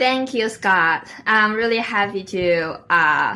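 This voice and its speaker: Speaking at a very slow pace with ordinary pitch variation, a woman talks in a Chinese accent. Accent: Mandarin Chinese. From northeast China, Liaoning province. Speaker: Toastmasters club president, marketing analyst. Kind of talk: interview podcast. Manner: hesitant, many fillers; lively.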